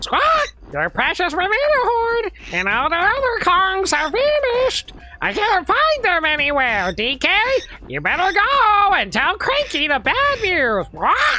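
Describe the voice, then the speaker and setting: Over music in the background, a put-on character voice at an extremely high pitch swings very widely in pitch at a fairly slow pace. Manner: squawking.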